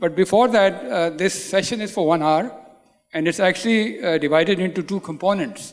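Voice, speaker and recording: The man's voice is pitched high, and its pitch moves in an ordinary way. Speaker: panel moderator. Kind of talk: panel introduction. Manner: standing while speaking.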